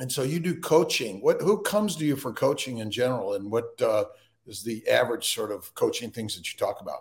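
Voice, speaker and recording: A man speaks at a fairly quick pace, his loudness swinging widely. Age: 60s. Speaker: physician podcast host. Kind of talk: casual interview.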